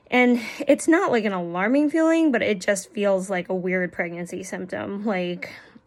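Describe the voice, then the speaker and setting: A medium-pitched woman talks at a moderate pace with noticeable noise in the background. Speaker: beauty vlogger. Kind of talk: product review monologue. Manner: casual, filler-heavy.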